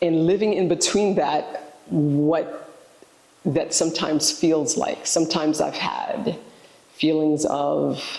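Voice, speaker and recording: With a New York accent, a woman speaks at a very slow pace with fairly even intonation and very even loudness over noticeable background noise. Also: fairly low pitch for a woman. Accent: New York American. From New York City, Haitian-American. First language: Haitian Creole. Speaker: educator, director of a language immersion program. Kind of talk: interview, personal reflection. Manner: halting, with fillers.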